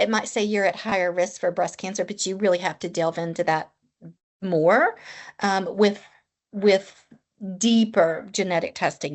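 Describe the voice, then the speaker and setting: In a Tennessee accent, a woman speaks at medium pitch and moderate pace with fairly even intonation. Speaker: oncology nurse practitioner. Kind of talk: podcast interview.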